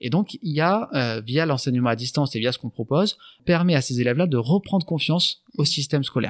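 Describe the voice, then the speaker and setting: Speaking at a fairly quick pace, a man with a fairly high pitch is heard in a very clean, silent recording with a dry, close sound and no echo. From France, Landes. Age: 30s. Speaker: business owner and former pro surfer. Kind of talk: interview. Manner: halting.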